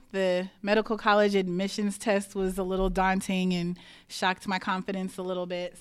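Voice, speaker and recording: A woman with a normal speaking voice and an American accent, medium pitch, and a moderate pace on a very clean recording with a silent background. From Houston area, Texas. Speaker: sports medicine doctor. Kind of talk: interview. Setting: conference venue, live recording.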